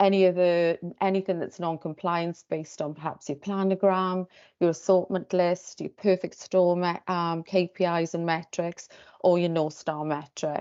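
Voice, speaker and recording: With a Welsh accent, the speaker keeps a moderate pace and a monotone, flat intonation. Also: woman, fairly low pitch for a woman. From Wales. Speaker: tech company sales presenter. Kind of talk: pitch presentation. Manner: hesitant, many fillers.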